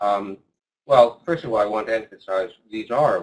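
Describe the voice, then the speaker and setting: A man is speaking. His voice has a medium pitch and is a normal speaking voice. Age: 60s. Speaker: clinical psychologist and neuropsychologist. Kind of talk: interview.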